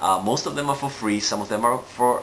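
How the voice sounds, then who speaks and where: A man talks with a Singaporean accent. Noticeable background noise runs underneath. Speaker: NLP trainer and coach. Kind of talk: live video monologue. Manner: hesitant with frequent fillers.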